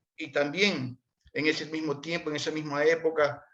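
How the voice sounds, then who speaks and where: A man's fairly high voice at a fairly slow pace. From Ecuador, Portoviejo (Manabí coast). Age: 60s. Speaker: interviewee sharing life story. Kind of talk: conversational interview.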